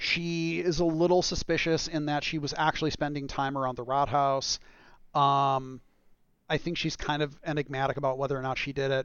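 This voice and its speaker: At a moderate pace, a man with a fairly high pitch uses fairly even intonation in an unremarkable speaking voice. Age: 40s. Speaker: video game director. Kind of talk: casual chat.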